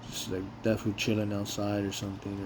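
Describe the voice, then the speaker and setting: A man at a very fast pace, with audible room echo. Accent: American. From Los Angeles, US West Coast. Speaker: warehouse worker and vlogger. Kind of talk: casual monologue vlog. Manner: unscripted, rambling with repetitions.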